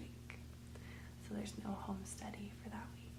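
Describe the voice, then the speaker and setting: A woman is soft-spoken. Noticeable background noise can be heard. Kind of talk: casual intro to listeners.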